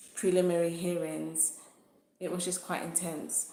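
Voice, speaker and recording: A woman is talking. Audible room echo surrounds her voice. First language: not English. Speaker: YouTuber sharing personal legal experience. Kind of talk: livestream talk to viewers. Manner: hesitant, many fillers.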